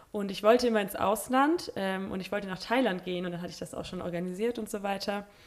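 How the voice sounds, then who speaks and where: Over noticeable background noise, a woman talks at a very fast pace with hardly any pauses. Her medium pitch shows ordinary variation, and her loudness swings widely. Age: 20s. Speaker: Bible school student. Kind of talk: casual interview chat. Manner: hesitant, many fillers.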